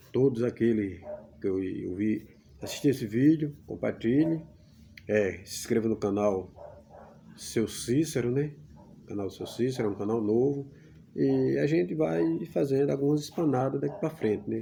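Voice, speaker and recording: A man speaks at a fairly slow pace with long, frequent pauses. His dark, mellow voice sits at a medium pitch with very wide pitch swings. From Brazilian Northeast (Pernambuco interior). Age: 50s. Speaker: YouTuber. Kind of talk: casual vlog monologue.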